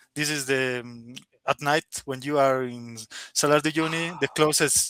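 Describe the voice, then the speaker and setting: The recording is dry and close with no echo, carrying a man's fairly high pitch and bright, sharp tone. He speaks with a Spanish accent at a moderate pace and with fairly even intonation. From Bolivia. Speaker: software engineer. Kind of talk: interview. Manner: halting.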